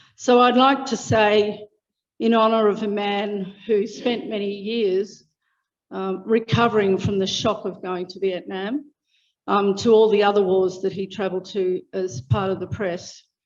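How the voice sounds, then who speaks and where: A woman with an Australian accent, medium pitch, fairly even intonation and a fairly slow pace, against a quiet background. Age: 60s. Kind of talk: public speech. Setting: public meeting.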